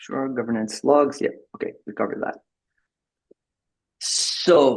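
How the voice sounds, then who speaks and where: Speaking slowly-ish with a French accent, a man uses a fairly high pitch with ordinary pitch variation. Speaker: tech company executive presenting a product. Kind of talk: presentation at an online member meeting. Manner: halting, with many repeated words and fillers.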